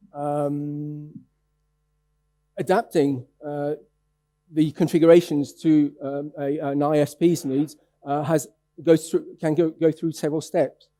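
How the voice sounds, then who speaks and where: The man speaks at a very slow pace with long, frequent pauses, in a monotone, flat way, with a fairly high pitch and a dark, mellow tone. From France. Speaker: conference speaker. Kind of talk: conference presentation. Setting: stage with audience. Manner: halting, many fillers and restarts.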